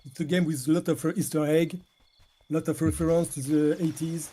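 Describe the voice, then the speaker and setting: This man has a strong French accent and a fairly high pitch. His tone is dark and mellow, and his intonation stays flat and monotone. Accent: heavy French. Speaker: indie game developer. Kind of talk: interview. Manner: halting.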